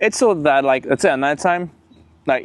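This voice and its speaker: A man with a non-native accent, moderate pace and ordinary pitch variation, against a quiet background. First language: not English. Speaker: car enthusiast YouTuber. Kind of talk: casual vlog tutorial. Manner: casual, halting with fillers.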